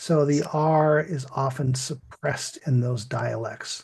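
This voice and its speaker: A fairly slow, somewhat breathy man's voice with an American accent. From US Midland. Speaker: English teacher. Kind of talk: lesson.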